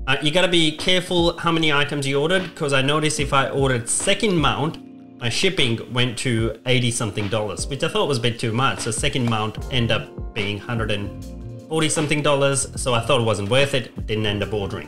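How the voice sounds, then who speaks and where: A man talks at a fairly quick pace with clear music in the background. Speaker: aviation content creator. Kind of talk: casual product review vlog. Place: home room.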